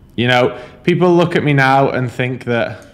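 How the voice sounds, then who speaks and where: Male voice with a Yorkshire accent, moderate pace and ordinary pitch variation. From northern England, Huddersfield, Yorkshire. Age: 20s. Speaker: online fitness and business coach. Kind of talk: vlog monologue. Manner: casual, filler-heavy.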